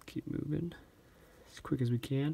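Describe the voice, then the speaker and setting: Fairly even intonation marks this man's speech. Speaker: stamp collector YouTuber. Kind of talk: casual video tutorial/show-and-tell. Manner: fast.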